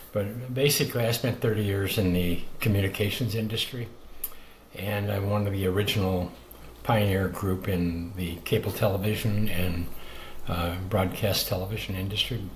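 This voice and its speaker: With an American accent, a man speaks at a fairly low pitch and a moderate pace. His intonation is fairly even, and audible room echo fills the recording. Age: 70s. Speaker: author and health advocate. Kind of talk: podcast interview. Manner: halting with many fillers.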